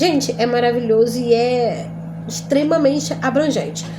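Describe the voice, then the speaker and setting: Audible room echo and noticeable background noise surround a woman who talks very slowly. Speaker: Bible teacher. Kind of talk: lecture.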